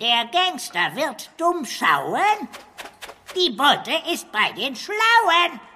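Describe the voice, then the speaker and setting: Put-on character voice, high pitch, very slow pace, long, frequent pauses. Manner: silly, speaks in rhymes.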